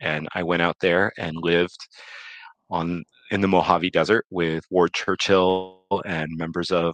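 In an American accent, a man speaks at a very deep, low pitch, with a dry, close sound free of echo and a quiet background. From Arizona, US (suburbs). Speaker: beekeeper and mead maker. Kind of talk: casual interview.

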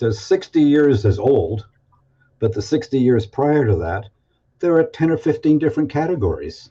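With a fairly high pitch, a man speaks slowly in a dark, mellow, somewhat breathy tone, his intonation lively. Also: quiet background. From Toronto, Canada. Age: 70s. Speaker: guest and researcher. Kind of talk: casual interview conversation. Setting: video call.

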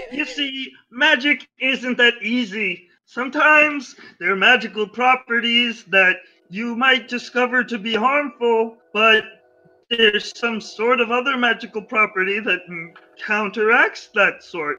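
A man's put-on character voice at an extremely high pitch, fairly slow pace, faint music in the background. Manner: lecturing, upbeat.

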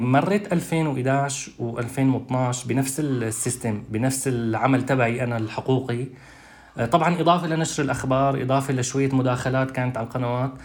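A man speaks at a medium pitch and a moderate pace. His intonation stays fairly even. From Syria, Douma (Eastern Ghouta). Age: 30s. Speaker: human rights activist. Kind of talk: testimony. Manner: halting.

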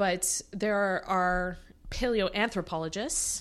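In a North American accent, a woman speaks at a very slow pace and medium pitch. The background is quiet. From Canada. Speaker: archaeologist. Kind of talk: casual interview chat.

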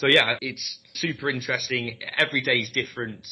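In a southern English accent, a man speaks at a moderate pace with a medium pitch and fairly even intonation. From London. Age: 20s. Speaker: recruitment trainer. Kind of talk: interview.

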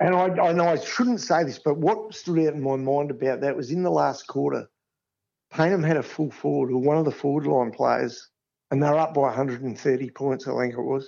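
Speaking at a moderate pace with an Australian accent, a man uses a fairly high pitch and lively intonation. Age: 60s. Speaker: sports ground manager. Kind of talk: interview.

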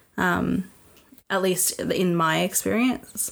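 Speaking at a very slow pace, a woman keeps a fairly low pitch. Her intonation is fairly even. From Australia.

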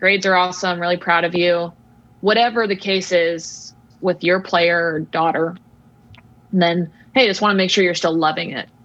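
Here is a woman with an ordinary speaking voice and a fairly low pitch. Her intonation is fairly even, and her pace is moderate. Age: 30s. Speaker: former softball player, mental game coach. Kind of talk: casual interview chat.

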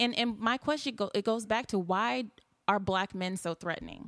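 A woman talks at a moderate pace in an animated tone and medium pitch, recorded very cleanly with a silent background and a dry, close sound with no echo. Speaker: nightlife patron. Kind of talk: casual debate. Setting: studio.

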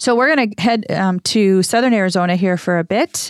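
At a fairly quick pace, a woman with a normal speaking voice, medium pitch and ordinary pitch variation is heard in a dry, close sound with no echo. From Minnesota, Saint Paul. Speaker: publisher and podcast co-host. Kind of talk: casual chat. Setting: studio.

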